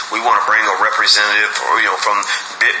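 Amid light background noise and audible room echo, a man talks at a very fast pace. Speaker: podcast host. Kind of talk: podcast monologue. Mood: earnest, warning tone. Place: home room. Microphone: phone near.

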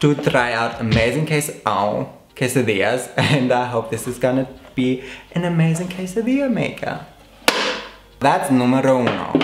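A man speaks at a moderate pace with ordinary pitch variation. There is audible room echo and light background noise. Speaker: video host. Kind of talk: casual vlog chat. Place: home room.

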